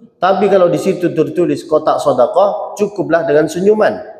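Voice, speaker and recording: A man with a Malay accent at a moderate pace, in a room with audible echo. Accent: Malay-tinged Indonesian. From Saudi Arabia, Mecca. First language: Arabic (speaking Indonesian). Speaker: preacher. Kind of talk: sermon. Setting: mosque. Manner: not fluent in Indonesian.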